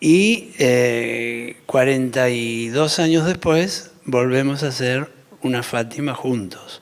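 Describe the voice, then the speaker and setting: A man talks at a very slow pace with ordinary pitch variation over noticeable background noise. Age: 60s. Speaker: architect. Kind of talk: panel talk.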